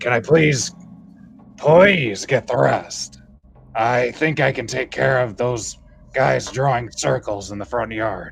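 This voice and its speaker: Speaking in a raspy, put-on character voice, a man uses medium pitch with ordinary variation at a fairly slow pace. Long, frequent pauses break up his words, and clear music plays in the background. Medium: actual play. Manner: smooth, polite, quietly insistent.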